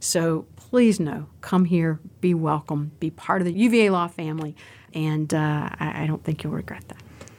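With a very deep, low pitch, a woman speaks in an American accent at a moderate pace. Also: ordinary pitch variation. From Southwestern Virginia, US. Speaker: financial aid dean. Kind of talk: casual interview.

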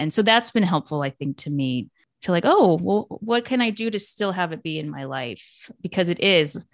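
A woman's voice with very wide pitch swings at a moderate pace, in a very clean recording with a silent background. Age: 40s. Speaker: podcast host, former musical theater performer. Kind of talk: casual chat.

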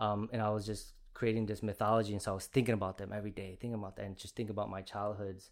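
Talking at a very fast pace in a flat monotone, a man with a fairly low voice is heard on a very clean recording with a silent background. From Chicago Heights, Illinois. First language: Spanish. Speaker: visual artist. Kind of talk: casual interview chat. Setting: studio. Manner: casual, conversational.

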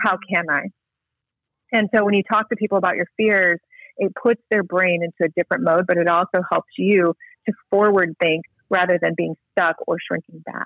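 An unremarkable speaking voice from a woman, medium in pitch, with fairly even intonation at a moderate pace. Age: 40s. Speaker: guest speaker sharing life story. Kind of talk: interview testimony. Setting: phone call.

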